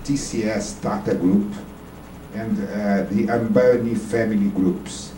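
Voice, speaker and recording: Amid noticeable background noise and audible room echo, a man speaks. His pace is fairly slow and his intonation lively. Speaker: audience member asking a question. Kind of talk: Q&A question at a debate.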